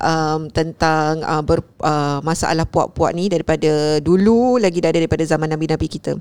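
This is a normal speaking voice moving at a moderate pace. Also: woman. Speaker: podcast co-host. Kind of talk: casual chat.

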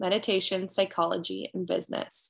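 A woman in a plain, everyday voice speaks at a moderate pace and medium pitch against a quiet background. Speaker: podcast co-host. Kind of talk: scripted intro.

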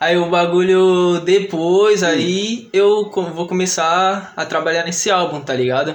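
Speaking very slowly with hardly any pauses, a man uses a high pitch and fairly even intonation, with audible room echo and noticeable background noise. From São Paulo, Vila Maria. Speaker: trap musician. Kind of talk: casual chat. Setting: studio.

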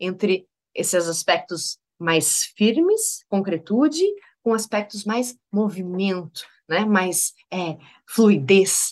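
A woman speaks at a very slow pace in a medium pitch with ordinary pitch variation over a quiet background. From Rio Grande do Sul, Brazil. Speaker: podcast host, leadership consultant. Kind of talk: solo podcast monologue, reflective. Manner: halting with filler hesitations.

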